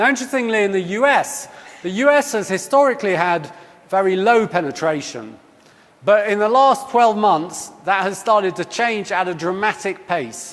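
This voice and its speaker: Someone with a British accent speaks at a moderate pace with lively intonation over noticeable background noise. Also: man, high pitch for a man. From UK. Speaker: company executive. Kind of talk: conference keynote talk.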